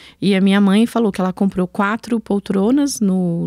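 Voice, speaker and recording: A woman speaks at a moderate pace with fairly even intonation and a dark, mellow tone. The sound is dry with no echo over a quiet background. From Brazil, Alagoas (Northeast), raised in São Paulo area. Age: 50s. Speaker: entrepreneur, founder of a women's entrepreneurship network; podcast guest. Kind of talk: podcast interview. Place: studio. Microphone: studio mic.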